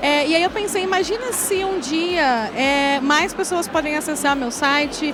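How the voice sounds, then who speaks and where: In a southern Brazilian accent, a woman speaks at a high pitch, with noticeable background noise and audible room echo. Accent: southern Brazilian (gaúcho). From Rio Grande do Sul, Brazil (countryside). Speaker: tech executive and founder of women-in-tech platform. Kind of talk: panel talk. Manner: hesitant, many fillers.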